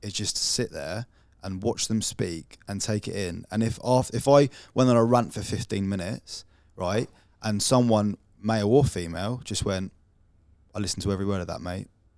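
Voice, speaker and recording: Heard in a very clean recording with a silent background, a man with an English accent speaks at a fairly low pitch with ordinary pitch variation. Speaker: podcast host. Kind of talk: casual chat. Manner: fast.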